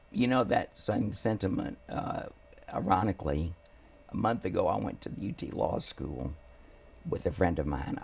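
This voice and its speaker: A man with an American accent speaks at a moderate pace, with long, frequent pauses. Noticeable background noise can be heard. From Houston, Texas. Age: 70s. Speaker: family attorney. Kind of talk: interview.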